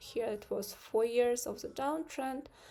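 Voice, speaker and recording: The voice belongs to a woman with a non-native accent and a dark, mellow tone. Her intonation is lively. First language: not English. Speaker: trading streamer. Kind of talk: live stream market analysis. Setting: live stream with screen share. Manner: hesitant, many fillers.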